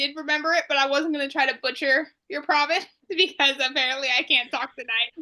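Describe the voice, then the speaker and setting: A woman's raised, projected, high-pitched voice with an American accent, bright and sharp in tone, at a fairly quick pace. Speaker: podcast co-host. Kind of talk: casual chat.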